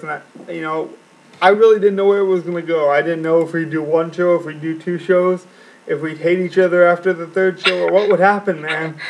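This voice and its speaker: Over noticeable background noise, a man speaks at a fairly quick pace in a high voice. His intonation is monotone and flat. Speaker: fantasy sports league podcast co-host. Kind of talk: casual chat.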